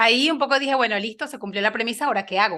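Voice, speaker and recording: A woman speaks with a bright, sharp tone and lively intonation. The recording is very clean, with a silent background. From Venezuela, Lara state (Río Claro). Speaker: engineer and podcaster. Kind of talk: interview conversation.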